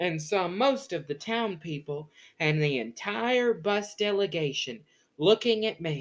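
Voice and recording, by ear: Lively intonation in a natural voice reading aloud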